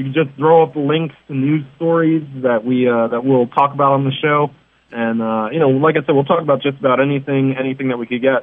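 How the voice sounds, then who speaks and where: A man with a fairly high pitch and a normal speaking voice, in an American accent. He talks at a fairly quick pace with fairly even intonation. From New York City. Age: 30s. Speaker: wrestling columnist. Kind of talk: interview.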